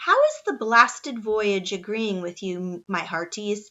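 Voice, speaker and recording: A woman puts on a gruff, growling character voice at a medium pitch. She delivers it at a fairly slow pace. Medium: read story. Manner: gruff, blustering.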